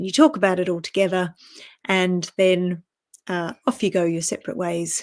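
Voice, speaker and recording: A woman with an Australian accent, medium pitch, ordinary pitch variation and a moderate pace, in a very clean recording with a silent background. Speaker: personal strategy coach. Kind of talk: casual vlog talk to camera. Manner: conversational with fillers.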